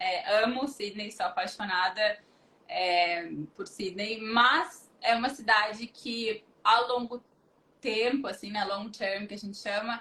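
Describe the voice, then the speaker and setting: A woman's fairly high, bright, sharp voice at a very slow pace, with ordinary pitch variation and big swings in loudness. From southern Brazil, Porto Alegre. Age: 30s. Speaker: recruitment professional. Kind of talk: interview on a livestream.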